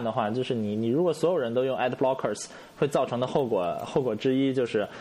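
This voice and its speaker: A man's voice with noticeable background noise. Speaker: podcast co-host. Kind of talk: casual chat.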